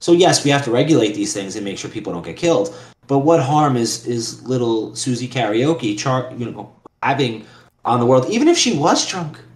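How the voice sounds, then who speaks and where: With a New York accent, the speaker goes at a moderate pace with ordinary pitch variation and big swings in loudness, and the room echo is audible. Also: man, medium pitch for a man. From New York City, Queens. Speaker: lawyer. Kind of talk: casual chat.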